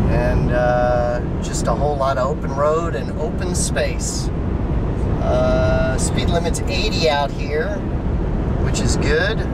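The speech moves at a very slow pace. Loud background noise runs underneath. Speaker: car reviewer. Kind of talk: casual vlog chat. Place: car. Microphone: phone near.

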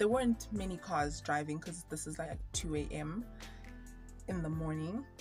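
Faint music plays in the background while a woman talks. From Zimbabwe. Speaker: YouTuber. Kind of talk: storytime talk to camera. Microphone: phone near.

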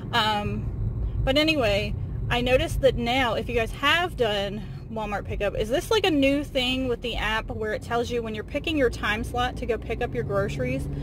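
Delivered at a fairly quick pace, the speech sounds dry with no echo amid noticeable background noise. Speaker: vlogger driving. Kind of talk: casual vlog chat. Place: car. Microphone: phone near.

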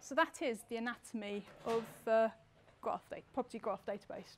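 At a moderate pace, a woman speaks with a high pitch. Her pitch variation is ordinary. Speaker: conference presenter. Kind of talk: lecture. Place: hall.

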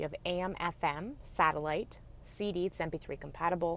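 A woman speaks at a fairly low pitch with vocal fry and fairly even intonation. The sound is dry with no echo, with light background noise. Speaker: dealership salesperson. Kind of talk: product walkaround commentary. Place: car. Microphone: phone near.

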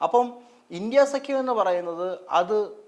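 Lively intonation from a man. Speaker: political commentator. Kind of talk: casual political discussion.

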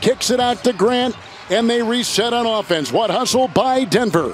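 A man speaks at a moderate pace in an extremely high pitch. Noticeable background noise runs underneath. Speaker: play-by-play basketball commentator. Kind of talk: live play-by-play basketball commentary, calling each pass and shot. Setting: broadcast booth at live game. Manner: playful, laughing banter with partner between plays.

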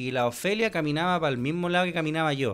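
A man with a Chilean accent, talking at a very fast pace. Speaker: podcast co-host. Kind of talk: casual chat. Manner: animated. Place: studio. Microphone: studio mic.

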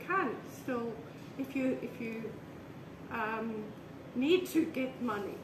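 Noticeable background noise sits behind a woman speaking at a high pitch. She talks at a fairly slow pace with lively intonation. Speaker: artist. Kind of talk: casual interview chat. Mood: relaxed reminiscing chat. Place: home room. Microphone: camera far.

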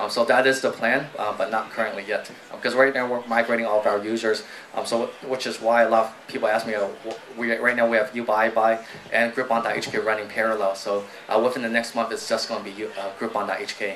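A man's flat, monotone delivery at a fairly quick pace, with light background noise. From United States (moved from Guangdong at age five). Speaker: startup founder and CEO; guest. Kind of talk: live onstage interview. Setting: stage with audience. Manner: quiet. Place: stage. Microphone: handheld.

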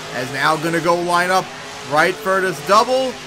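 A man talks at a high pitch in an animated, excited tone. Noticeable background noise runs behind him. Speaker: game commentator. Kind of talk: live play-by-play commentary over game footage. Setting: voiceover recorded over gameplay video. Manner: animated, fast play-by-play with excited exclamations.

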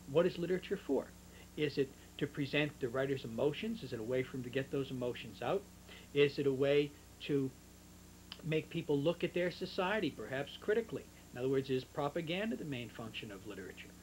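Talking at a very fast pace, a man sounds somewhat breathy with lively intonation. Light background noise can be heard. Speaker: literature teacher. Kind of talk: lecture. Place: home room. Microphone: old recording.

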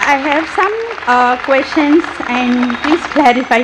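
Against noticeable background noise, a woman with an Indian accent speaks in a high pitch at a very slow pace, with ordinary pitch variation. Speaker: audience member asking a question. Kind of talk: question from audience. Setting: stage with audience. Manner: halting.

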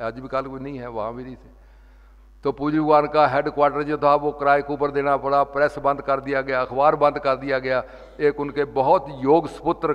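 A man with a fairly high voice speaks at a moderate pace in a flat monotone, his loudness swinging widely. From Punjab (Montgomery, now Pakistan); Punjab. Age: 80s+. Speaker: religious speaker; speaker. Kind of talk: sermon. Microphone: podium.

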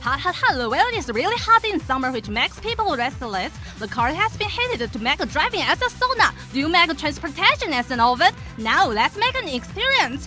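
Music plays in the background as a woman speaks in a raised, projected voice at a high pitch. Her pitch swings very widely, and her pace is fairly quick. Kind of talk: TV commercial read.

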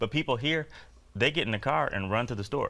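A man with a Chicago accent talks very fast at a medium pitch, his tone bright and sharp. His intonation is lively, with vocal fry. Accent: Chicago American. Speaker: comedian. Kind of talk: comedy bit in TV interview. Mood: playful, animated storytelling. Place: studio. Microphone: lapel.

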